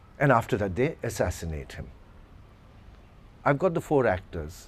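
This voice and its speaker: A man's medium-pitched voice with vocal fry and very wide pitch swings. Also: moderate pace. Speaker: retired English literature professor and theatre director. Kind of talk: workshop talk. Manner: bland, unemotional teaching voice.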